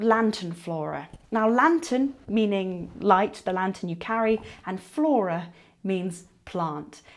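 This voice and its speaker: Lively intonation at a fairly slow pace, on a very clean recording with a silent background. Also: woman. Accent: English. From England. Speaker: television presenter and caver. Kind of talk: unscripted educational talk to camera. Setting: inside a cave.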